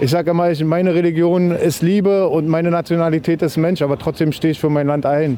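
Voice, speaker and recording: Pitched high, a man speaks at a very fast pace with very even loudness and fairly even intonation. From Berlin. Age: 40s. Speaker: protester. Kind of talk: street interview. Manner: emphatic.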